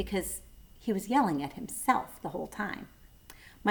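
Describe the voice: The speaker is doing plain reading aloud.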